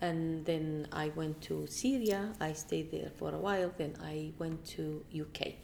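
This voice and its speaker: A woman with a Kurdish accent at a very slow pace, with hardly any pauses. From Iraq, Kirkuk. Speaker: politician. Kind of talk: interview. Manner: halting.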